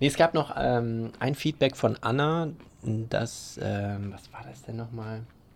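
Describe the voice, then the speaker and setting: A man's plain, everyday voice at a medium pitch. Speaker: podcast co-host. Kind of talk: casual chat. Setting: outdoors on a terrace.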